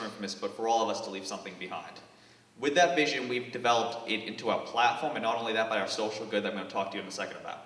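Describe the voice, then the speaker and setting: On a recording with noticeable background noise and audible room echo, a man with an American accent talks at a very fast pace, his medium-pitched voice showing ordinary pitch variation. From US Northeast, Boston. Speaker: startup founder. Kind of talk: pitch presentation.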